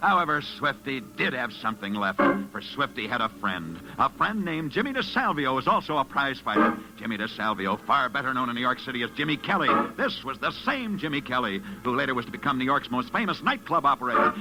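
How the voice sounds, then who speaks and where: Music plays in the background as a man talks at a very fast pace. His medium-pitched voice makes very wide pitch swings. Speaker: radio sports reporter. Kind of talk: vintage radio sports program narration.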